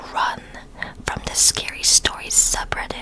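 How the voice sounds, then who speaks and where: A woman whispering at a fairly slow pace, with noticeable background noise. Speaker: ASMR creator. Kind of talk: casual intro and transition to camera. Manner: whispered, soft, relaxing.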